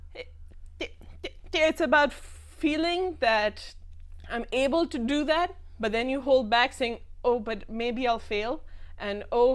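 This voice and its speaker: Very slow and with long, frequent pauses, a woman speaks at a high pitch with lively intonation on a very clean recording with a silent background. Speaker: stammering association member. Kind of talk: TV talk show interview. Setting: TV studio. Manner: stutter.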